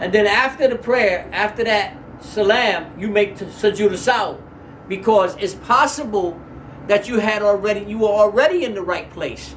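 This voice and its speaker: A high-pitched man at a moderate pace with ordinary pitch variation, amid audible room echo and noticeable background noise. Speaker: Islamic religious teacher. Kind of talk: lecture.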